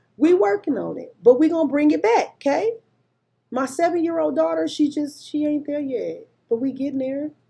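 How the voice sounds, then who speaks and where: A high-pitched woman speaks at a moderate pace in an animated tone. Her pitch swings very widely and her loudness shifts in big swings. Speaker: homeschooling vlogger. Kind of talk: casual talk to camera. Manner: conversational, unedited with occasional stumbles.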